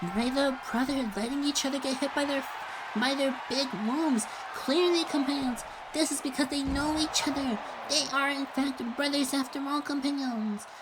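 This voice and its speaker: Over loud background noise, a woman with a high pitch talks at a moderate pace and very even loudness. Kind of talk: wrestling play-by-play commentary. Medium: virtual streamer. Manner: rambling, jokey, addresses viewers as companions.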